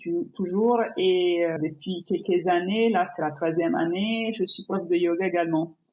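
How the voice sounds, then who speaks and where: A woman speaks with an Italian accent. Her pace is fairly slow. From Italy. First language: Italian (speaking French). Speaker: painter and yoga teacher. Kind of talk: podcast interview. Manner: halting, many fillers and restarts.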